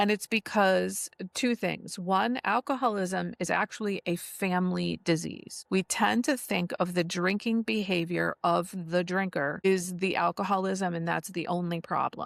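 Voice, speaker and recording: A woman speaks in a normal speaking voice at a medium pitch, with ordinary pitch variation, a fairly slow pace and hardly any pauses. The recording is very clean, with a silent background and a dry, close sound with no echo. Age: 60s. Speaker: podcaster and recovery speaker. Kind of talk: interview. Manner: conversational, storytelling.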